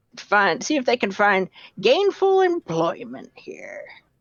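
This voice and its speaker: A put-on character voice that sounds female moves through very wide pitch swings. The delivery comes at a fairly slow pace. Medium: actual play. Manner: rambling, hesitant, folksy.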